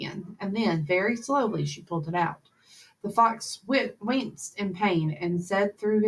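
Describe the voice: Ordinary pitch variation in a plain reading aloud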